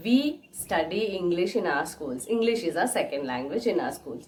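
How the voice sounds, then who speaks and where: With an Indian accent, a woman of medium pitch talks at a moderate pace with lively intonation over noticeable background noise. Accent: Indian English (Telugu). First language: Telugu. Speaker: English teacher / YouTuber. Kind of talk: tutorial.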